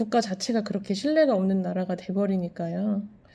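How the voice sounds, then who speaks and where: This woman's voice has a dark, mellow tone at a medium pitch, with ordinary pitch variation. The recording is very clean, with a silent background. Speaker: vlogger and landlord. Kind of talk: casual vlog monologue. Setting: at home. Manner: halting with fillers.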